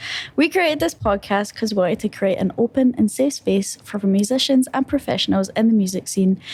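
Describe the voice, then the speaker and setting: A woman speaks in a Scottish accent at a medium pitch. Her voice is somewhat breathy. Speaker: podcast host. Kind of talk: podcast intro.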